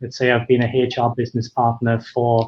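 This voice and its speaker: A man speaks with a Welsh accent in a somewhat breathy voice. His intonation is monotone and flat. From Wales. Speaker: founder of an HR freelance marketplace. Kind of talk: webinar discussion. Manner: hesitant, many fillers.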